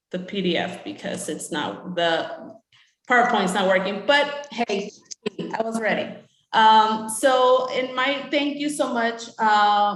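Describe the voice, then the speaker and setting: Someone speaks at a very slow pace with audible room echo. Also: woman. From Mexico, moved to US at eight. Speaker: utility supplier diversity representative. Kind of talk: conference presentation. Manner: hesitant, many fillers.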